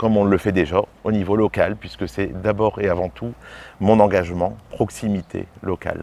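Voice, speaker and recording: At a moderate pace, a man talks in a fairly low voice with a dark, mellow tone. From northern France, mining basin (Lens). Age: 40s. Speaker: mayor, politician. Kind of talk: interview. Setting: outdoors in a garden. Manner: hesitant, repeats words.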